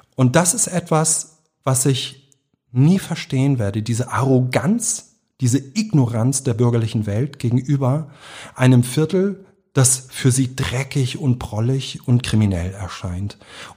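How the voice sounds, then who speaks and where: A man with a medium pitch speaks at a fairly slow pace in a dark, mellow, somewhat breathy tone with lively intonation, in a very clean recording with a silent background. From Hamburg, St. Pauli. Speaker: author. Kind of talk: interview. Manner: emotional.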